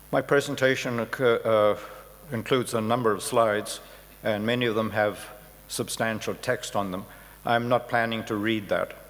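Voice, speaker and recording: With monotone, flat intonation, a man talks at a moderate speed. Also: medium pitch for a man. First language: Hindi. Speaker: professor of architecture, keynote speaker. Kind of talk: keynote lecture.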